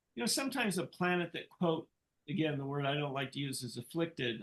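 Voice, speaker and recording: A man talks in an ordinary speaking voice with ordinary pitch variation. His pitch is fairly high. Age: 60s. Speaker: Vedic astrologer and psychologist. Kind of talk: interview. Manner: conversational, with frequent fillers.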